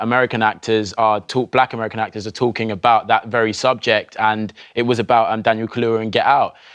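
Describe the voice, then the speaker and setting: A man with a British accent and a medium pitch speaks in a monotone, flat intonation. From England. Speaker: actor. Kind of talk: TV interview.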